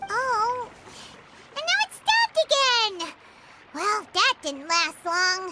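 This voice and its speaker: In a put-on character voice of extremely high pitch, the speaker goes at a very slow pace with long, frequent pauses. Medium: video game.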